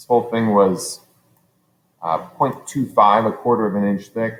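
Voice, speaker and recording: A man's ordinary speaking voice, fairly low in pitch, at a fairly slow pace. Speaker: teacher. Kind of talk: tutorial. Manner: casual, thinking aloud with fillers.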